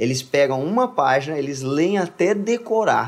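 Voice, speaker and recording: Speaking at a moderate pace, a man uses a normal speaking voice with lively intonation. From Brazil, Minas Gerais (Contagem). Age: 20s. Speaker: worship singer. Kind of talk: casual chat.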